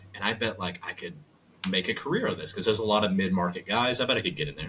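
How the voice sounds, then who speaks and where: Very fast speech from a man with an American accent, a bright, sharp tone and lively intonation. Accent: Southern, mostly masked. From US South. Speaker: voice actor and audiobook narrator. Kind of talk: casual chat.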